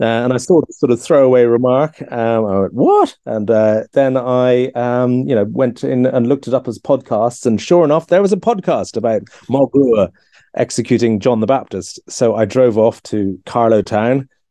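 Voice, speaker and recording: At a fairly quick pace, a man with an Irish accent speaks in a dark, mellow tone. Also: dry, close sound with no echo. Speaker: author and historian. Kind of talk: casual chat. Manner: halting.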